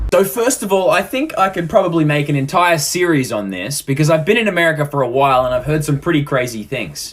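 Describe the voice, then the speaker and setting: Someone with an Australian accent talks very fast with hardly any pauses, over noticeable background noise. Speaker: social media creator. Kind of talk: casual storytelling.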